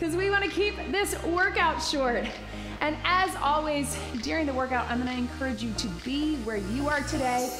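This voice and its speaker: A woman's high-pitched voice at a moderate pace, with clear music in the background. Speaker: fitness instructor. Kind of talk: workout instruction. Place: studio.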